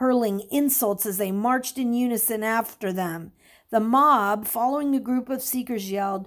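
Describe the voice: The clip is plain reading aloud, and the pitch varies in an ordinary way.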